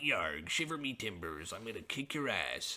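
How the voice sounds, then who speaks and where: A man at a medium pitch performs a put-on character voice with very wide pitch swings. His pace is moderate, with light background noise. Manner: mocking, exaggerated.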